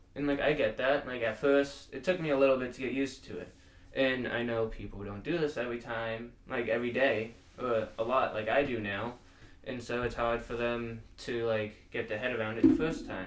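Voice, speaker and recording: A man's medium-pitched voice at a moderate pace, with fairly even intonation and audible room echo. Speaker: podcast host. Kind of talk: casual chat.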